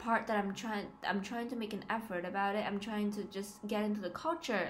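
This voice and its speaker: Noticeable background noise sits under audible room echo. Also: woman. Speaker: student vlogger. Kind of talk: casual vlog. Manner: hesitant, many fillers.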